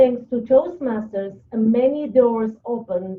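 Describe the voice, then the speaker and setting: A woman speaks at a fairly slow pace, her fairly high voice rising and falling in an ordinary way. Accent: non-native. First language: not English. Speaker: public speaking club member. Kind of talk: prepared presentation. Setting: video call.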